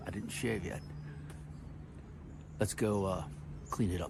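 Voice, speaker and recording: The man talks at a fairly quick pace, and audible room echo surrounds his voice. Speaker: home gardener vlogger. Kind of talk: casual vlog narration. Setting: outdoors in garden. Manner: loud.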